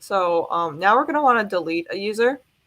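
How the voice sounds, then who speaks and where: A woman speaks at a moderate pace with lively intonation and a bright, sharp tone. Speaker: student workshop presenter. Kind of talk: coding tutorial. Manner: hesitant, many fillers.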